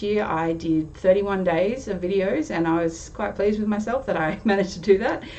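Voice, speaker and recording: A woman with an Australian accent, amid audible room echo and noticeable background noise. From Australia, Sydney. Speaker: tarot youtuber. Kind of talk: casual vlog intro. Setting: home recording on webcam. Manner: chatty, hesitant fillers.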